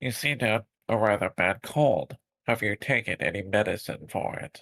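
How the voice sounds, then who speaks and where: A man's put-on character voice at medium pitch and moderate pace, on a very clean recording with a silent background. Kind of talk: courtroom speech. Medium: virtual streamer. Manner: smug, formal, courteous.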